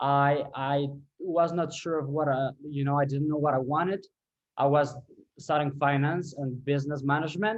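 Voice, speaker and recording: A man speaks with a Colombian accent at a moderate pace. His pitch is fairly high and his intonation fairly even. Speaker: ecommerce revenue optimization specialist. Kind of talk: interview podcast. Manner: halting, many fillers and repeats.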